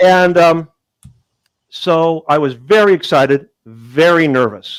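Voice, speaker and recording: A man with an American accent, high-pitched, at a very slow pace with ordinary pitch variation. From Southern California, Long Beach. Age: 60s. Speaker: comedian and magician. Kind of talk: casual interview chat.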